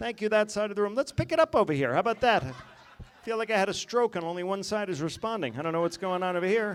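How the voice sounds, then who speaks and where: Speaking very fast with hardly any pauses, a man with an American accent uses a high pitch and lively intonation. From West Virginia. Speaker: stand-up comedian. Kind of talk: stand-up. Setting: stage with audience.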